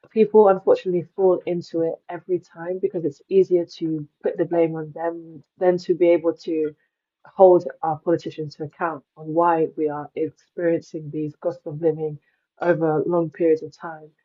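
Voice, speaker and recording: The speech comes in a British accent at a moderate pace. Its intonation is monotone and flat, with big swings in loudness. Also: woman, fairly low pitch for a woman. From England, Nigerian parents. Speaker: climate journalist and advocate. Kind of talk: podcast interview.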